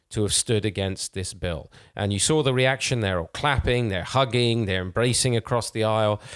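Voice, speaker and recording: An unremarkable speaking voice at a moderate pace, with ordinary pitch variation, hardly any pauses and a very clean recording over a silent background. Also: man, medium pitch for a man. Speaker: theologian and teacher. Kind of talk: teaching discussion. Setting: studio. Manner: formal, earnest.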